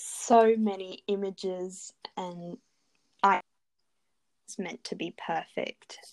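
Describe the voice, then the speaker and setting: On a very clean recording with a silent background, a woman with an Australian accent speaks at a very slow pace and medium pitch in monotone, flat intonation, the sound dry and close with no echo. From Adelaide, Australia. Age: 20s. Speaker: dental student. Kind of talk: interview.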